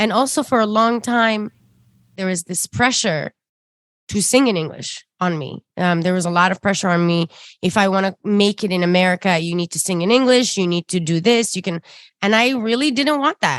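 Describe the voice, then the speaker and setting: A woman's fairly quick, medium-pitched speech with lively intonation and an Arabic accent, in a very clean, dry, close recording with no echo and a silent background. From Sudan. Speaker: singer-songwriter and ethnomusicologist. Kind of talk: interview conversation.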